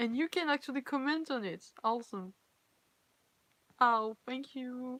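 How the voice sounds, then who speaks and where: A woman's high-pitched, bright and sharp voice at a fairly slow pace, with ordinary pitch variation and long, frequent pauses. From France. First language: French. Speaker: cosplayer and fanfiction reader. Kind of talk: casual live-stream chat. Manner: halting, self-correcting.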